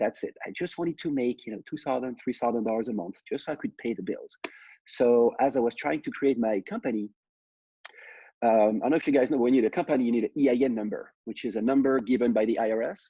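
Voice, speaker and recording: With a French accent, a man speaks at a very fast pace in a dark, mellow tone. The sound is dry and close with no echo, and the background is quiet. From France. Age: 30s. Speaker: startup founder. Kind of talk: personal story talk.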